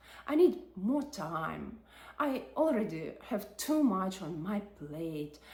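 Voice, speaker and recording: Somewhat breathy, a woman talks at a very slow pace in a medium pitch with very wide pitch swings, and the room echo is audible. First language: not English. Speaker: psychology and personal growth creator. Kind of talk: reflective video essay.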